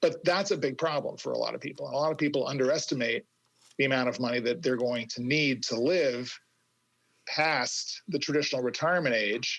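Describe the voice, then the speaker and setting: A man's plain, everyday voice, fairly high in pitch with ordinary pitch variation. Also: fairly quick pace. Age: 60s. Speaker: career coach and author. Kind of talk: interview conversation.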